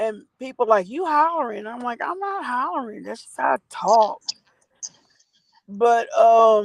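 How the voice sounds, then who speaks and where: Speaking fairly slowly, a woman uses a fairly high pitch and lively intonation, with big swings in loudness. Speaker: livestream host. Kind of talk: casual chat.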